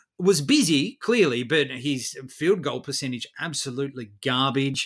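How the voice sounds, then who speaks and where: A man's fairly high voice in an Australian accent at a fairly slow pace, on a very clean recording with a silent background. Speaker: fantasy basketball podcast co-host. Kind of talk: casual chat.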